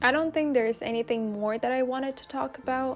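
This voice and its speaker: With a non-native accent, a woman speaks at a fairly quick pace with ordinary pitch variation. Noticeable background noise is present. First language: not English. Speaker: vlogger. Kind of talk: casual vlog talking to camera. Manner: casual, chatty.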